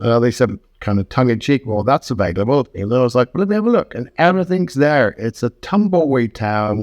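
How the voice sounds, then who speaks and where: A man in a London accent at medium pitch, with very wide pitch swings, a fairly quick pace and hardly any pauses, in a dry, close sound with no echo against a quiet background. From England. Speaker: woodturner and woodworking teacher. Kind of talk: interview. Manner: fast.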